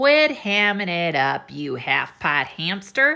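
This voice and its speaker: A woman growls through a put-on character voice at a medium pitch, fairly slow, with very wide pitch swings, on a very clean recording with a silent background. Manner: snarling.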